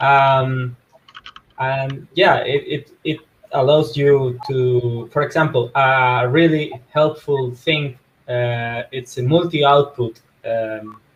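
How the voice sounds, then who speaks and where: A man with a non-native accent, speaking very slowly in fairly even intonation. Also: medium pitch for a man. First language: not English. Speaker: crypto developer, co-host. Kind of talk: casual video call update. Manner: halting, many fillers.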